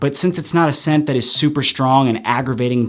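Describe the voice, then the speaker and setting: A man's unremarkable speaking voice moves at a fairly quick pace, with ordinary pitch variation. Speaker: men's hair product reviewer. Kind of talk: casual product review to camera.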